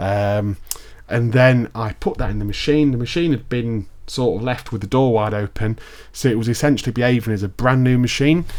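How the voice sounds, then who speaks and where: Speaking at a fairly quick pace, a man with a British accent has a medium pitch and ordinary pitch variation. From UK. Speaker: tech product reviewer. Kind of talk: casual tutorial. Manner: casual, with fillers.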